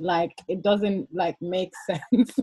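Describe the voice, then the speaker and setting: A woman's somewhat breathy voice, fairly even in intonation, comes across with a dry, close sound and no echo. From Gambia, moved to England at 11. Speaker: support group co-founder. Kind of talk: casual chat.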